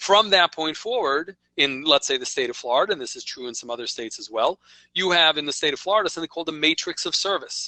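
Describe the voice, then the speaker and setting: A man talks at a very fast pace. He has a New York accent. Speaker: software company presenter. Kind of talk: webinar presentation. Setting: online webinar. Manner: conversational, with frequent okay fillers.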